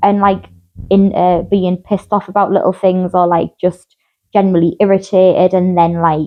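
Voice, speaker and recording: At a moderate pace and very even loudness, a woman speaks in a flat monotone at a medium pitch. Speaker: mental health podcast host. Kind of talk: casual chat.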